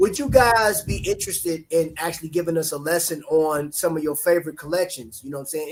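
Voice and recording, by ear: Fairly even intonation carries the speech along at a fairly quick pace. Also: man.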